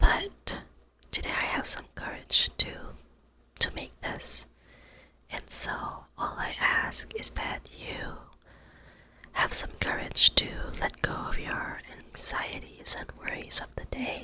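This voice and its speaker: The speech is whispered very slowly with long, frequent pauses. Behind it, there is noticeable background noise. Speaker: ASMR creator. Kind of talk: ASMR intro to camera, guided breathing. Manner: soft, calming, whispered.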